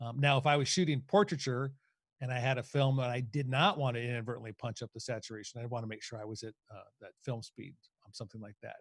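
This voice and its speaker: This somewhat breathy voice races along at a very fast pace with big swings in loudness, on a very clean recording with a silent background. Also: man, medium pitch for a man, ordinary pitch variation. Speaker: photography educator. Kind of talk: lecture.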